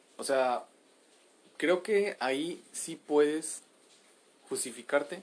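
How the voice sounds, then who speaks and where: A man speaks with lively intonation. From Monterrey, northern Mexico. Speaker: amateur podcaster. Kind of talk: casual monologue. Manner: casual, slangy.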